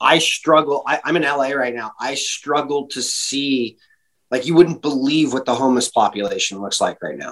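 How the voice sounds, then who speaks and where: A man with a West Coast US accent talks at a moderate pace in a fairly high pitch. His pitch varies in an ordinary way, while his loudness swings widely. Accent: American (West Coast). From California. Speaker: breathing and performance coach. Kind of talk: interview conversation.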